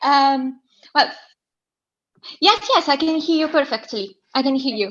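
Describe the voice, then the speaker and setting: Speaking at a fairly slow pace, a woman with an Italian accent has a high pitch and lively intonation. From southern Italy. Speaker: caller. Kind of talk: casual chat. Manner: halting.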